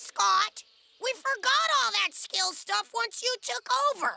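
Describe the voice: A cartoonish character voice sits at an extremely high pitch. It moves at a fairly slow pace.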